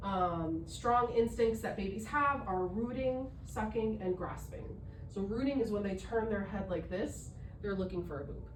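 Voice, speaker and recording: A woman at medium pitch, moderate pace and ordinary pitch variation, with audible room echo and noticeable background noise. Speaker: doula. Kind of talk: educational talk.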